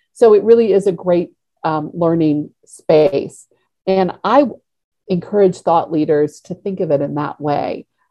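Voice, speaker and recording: In a normal speaking voice, a woman talks fairly slowly at a fairly low pitch with ordinary pitch variation. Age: 50s. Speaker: social media marketing executive. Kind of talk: interview monologue.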